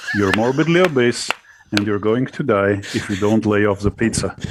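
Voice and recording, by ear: A man speaks at a moderate speed in a fairly low pitch, with noticeable background noise around him. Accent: non-native.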